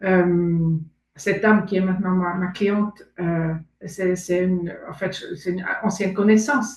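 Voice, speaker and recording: Somewhat breathy, a woman at medium pitch speaks at a fairly slow pace with fairly even intonation. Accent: German. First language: German (speaking French). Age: 60s. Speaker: aspiring coach. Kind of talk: testimony interview. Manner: halting.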